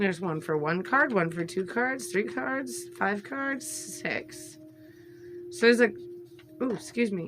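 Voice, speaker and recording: Music can be heard behind this woman's voice. Her pitch swings very widely. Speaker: tarot and oracle card content creator. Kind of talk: casual unboxing video. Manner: chatty, hesitant with fillers.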